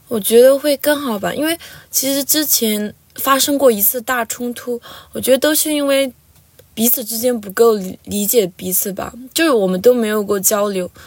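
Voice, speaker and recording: With ordinary pitch variation, a woman talks in a high-pitched voice. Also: moderate pace. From Lhasa, Tibet. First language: Tibetan (speaking Chinese). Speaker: university student. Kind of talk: interview.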